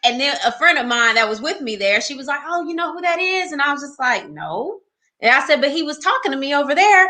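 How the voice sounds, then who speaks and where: A woman with a Texas accent in a raised, projected voice, high-pitched and animated, with lively intonation, a very fast pace and big swings in loudness. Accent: Southern US (Texas). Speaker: marriage podcast host and couples ministry leader. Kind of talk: casual storytelling interview.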